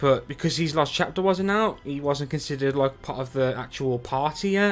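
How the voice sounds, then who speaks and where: A man with a Birmingham accent, a fairly high pitch, ordinary pitch variation and a moderate pace. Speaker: game streamer. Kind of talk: live gaming stream chat.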